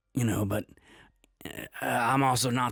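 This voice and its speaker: A man puts on a raspy character voice at a moderate pace. His intonation stays fairly even. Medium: actual play. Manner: hesitant, halting.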